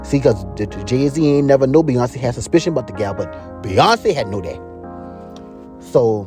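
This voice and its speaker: Music sits in the background as a man speaks with a South Carolina Lowcountry accent. His medium-pitched voice has lively intonation and a fairly slow pace. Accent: Gullah Geechie, Lowcountry South Carolina. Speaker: storyteller. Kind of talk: casual storytelling, gossip tale.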